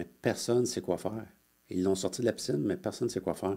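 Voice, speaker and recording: Very deep and low, a man's voice has a dark, mellow tone and ordinary pitch variation. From Quebec, Montreal. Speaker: retired police officer. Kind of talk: interview storytelling. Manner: halting, many fillers.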